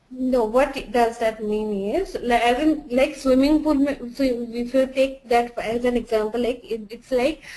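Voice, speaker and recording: There is noticeable background noise. A woman with a high pitch talks at a fairly slow pace. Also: ordinary pitch variation. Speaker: software trainer. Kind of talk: tutorial. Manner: halting, many false starts.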